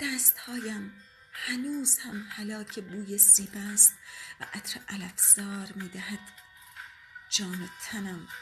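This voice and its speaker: Over music in the background, a woman speaks very slowly at a fairly high pitch with ordinary pitch variation. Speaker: audiobook narrator. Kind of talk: audiobook poetry reading.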